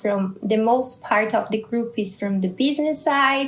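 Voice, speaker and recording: A woman's high-pitched voice with a Brazilian Portuguese accent, over noticeable background noise. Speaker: scientist and startup founder. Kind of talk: interview. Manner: halting, searching for words.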